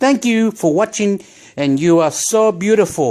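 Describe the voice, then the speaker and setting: A man is speaking. His intonation is lively. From Chile. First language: Spanish. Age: 40s. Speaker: vlogger. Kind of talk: casual monologue vlog. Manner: rambling, animated.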